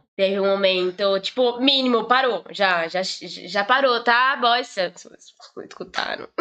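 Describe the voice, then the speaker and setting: A woman with a Brazilian accent speaks at a fairly slow pace in a fairly high pitch. Her tone is bright and sharp, with ordinary pitch variation. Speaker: podcast guest. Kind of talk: casual chat.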